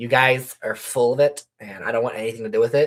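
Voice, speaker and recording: A put-on character voice, nasal and raspy with a low-to-middle pitch, rattles along at a very fast pace. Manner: sassy.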